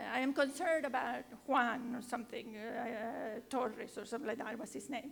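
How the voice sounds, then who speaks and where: A woman with a Spanish accent speaks at a high pitch and a moderate pace. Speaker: education professor. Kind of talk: panel discussion. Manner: halting.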